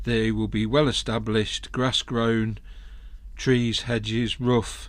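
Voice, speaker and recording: A man in an English Midlands accent talks at a fairly slow pace. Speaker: golf podcaster. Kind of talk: casual monologue podcast.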